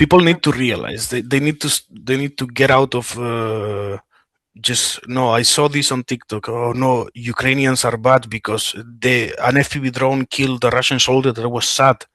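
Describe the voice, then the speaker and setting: Recorded with a dry, close sound and no echo, a man with a Spanish accent uses a bright, sharp tone at a medium pitch, fairly even intonation, and a moderate pace. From Spain. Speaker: war veteran. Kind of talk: interview. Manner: halting, many fillers and restarts.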